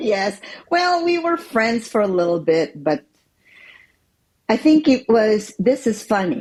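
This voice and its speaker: This woman's somewhat breathy voice sits fairly high and swings very widely in pitch. She talks very slowly, with long, frequent pauses. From Philippines. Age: 60s. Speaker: interview guest sharing life story. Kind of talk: testimony.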